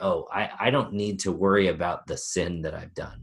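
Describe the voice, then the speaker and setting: There is a man talking. It is a very clean recording, the background silent. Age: 40s. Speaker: life coach. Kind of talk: interview.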